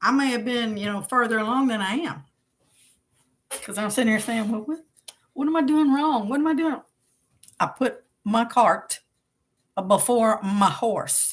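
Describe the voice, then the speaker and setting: In a very clean recording with a silent background, a woman with a Kentucky accent speaks at a moderate pace in a fairly high voice, with ordinary pitch variation and long, frequent pauses. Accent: Kentucky Southern US. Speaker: podcast host. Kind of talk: casual solo livestream chat. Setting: livestream and podcast recording. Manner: animated.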